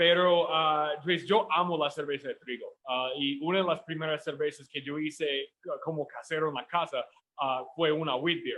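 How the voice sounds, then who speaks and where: A man with a strong American accent at a fairly high pitch, with fairly even intonation and a moderate pace. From United States. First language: English (speaking Spanish). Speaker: home brewer. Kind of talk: webinar conversation. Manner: hesitant, many fillers.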